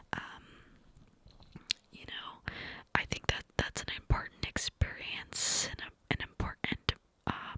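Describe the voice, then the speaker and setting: A woman whispers at a very slow pace, with long, frequent pauses and big swings in loudness. The sound is dry and close with no echo, and there is noticeable background noise. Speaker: mother and ASMR content creator. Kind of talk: ASMR storytime ramble, cupped whisper. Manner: whispered, close, breathy, clicky.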